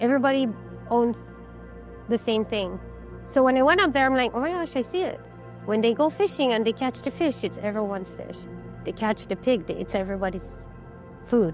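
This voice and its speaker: The speech has long, frequent pauses, with music playing in the background. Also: woman, fairly quick pace. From Chamorro, Saipan, Northern Mariana Islands. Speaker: artist, carver and cultural advocate. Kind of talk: interview answer, reflective storytelling. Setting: recorded interview.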